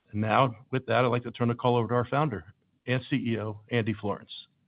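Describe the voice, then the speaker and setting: At a fairly quick pace, a man talks in an ordinary speaking voice. His pitch is medium. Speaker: investor relations host opening an earnings call. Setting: conference call.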